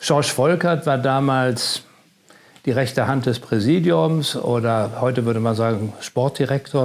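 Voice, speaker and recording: Fairly slow speech with ordinary pitch variation against noticeable background noise. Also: man. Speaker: stadium announcer. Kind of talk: interview answer. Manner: casual storytelling.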